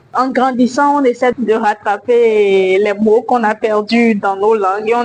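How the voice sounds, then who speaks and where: A woman's fairly high-pitched voice with fairly even intonation, over noticeable background noise. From Benin. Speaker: slam poet. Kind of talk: interview.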